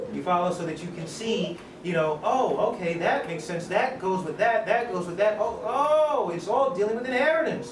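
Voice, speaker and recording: Lively intonation from a man, with audible room echo and noticeable background noise. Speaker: lecturer. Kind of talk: lecture.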